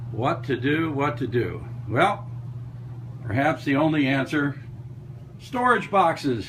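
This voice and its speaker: Amid noticeable background noise, a man with a fairly high voice talks very slowly, with long, frequent pauses and ordinary pitch variation. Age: 70s. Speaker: model railroad hobbyist. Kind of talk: casual show-and-tell video tour. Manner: casual, folksy.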